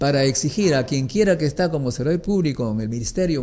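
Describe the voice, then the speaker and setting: Over light background noise, a man talks at a very fast pace with lively intonation. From Peru. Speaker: nuclear physicist; interview guest. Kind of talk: interview. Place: studio. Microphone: studio mic.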